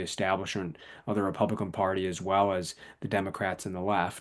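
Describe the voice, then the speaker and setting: Against a quiet background, the speech comes at a very fast pace in an Upper Midwest accent. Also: man. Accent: Upper Midwest American. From southern Wisconsin. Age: 40s. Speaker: author. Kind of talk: interview.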